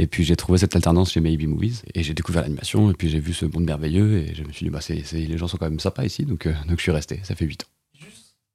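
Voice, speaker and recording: Speaking at a very fast pace with hardly any pauses, a man with a very deep, low pitch and a dark, mellow, somewhat breathy tone keeps his intonation fairly even while his loudness swings widely. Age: 20s. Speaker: animation production assistant. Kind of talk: casual interview chat.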